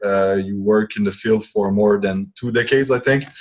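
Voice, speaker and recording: The speaker is a man. He has a Quebec accent. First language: French. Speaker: podcast host and fitness trainer. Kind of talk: interview. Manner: halting. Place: office. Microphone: earbuds.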